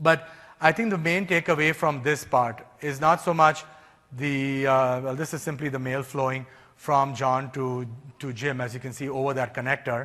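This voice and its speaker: Using an ordinary speaking voice, a man talks at a fairly high pitch with fairly even intonation. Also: moderate pace. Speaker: technical presenter. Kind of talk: technical lecture.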